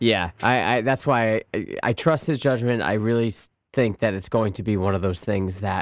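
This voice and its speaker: A man with a normal speaking voice, fairly low in pitch, ordinary pitch variation and a moderate pace, on a very clean recording with a silent background. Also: dry, close sound with no echo. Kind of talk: casual sports talk. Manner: laughing, encouraging, conversational.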